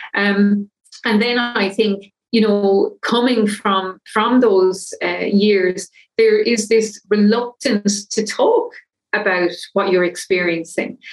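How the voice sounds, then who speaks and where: A woman with an Irish accent, medium pitch, a very slow pace, very even loudness and fairly even intonation. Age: 50s. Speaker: menopause coach. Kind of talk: interview.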